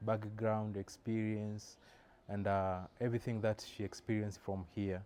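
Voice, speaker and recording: With a dark, mellow tone, a man speaks at a fairly slow pace in monotone, flat intonation. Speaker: obstetrics and gynecology resident. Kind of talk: interview introduction.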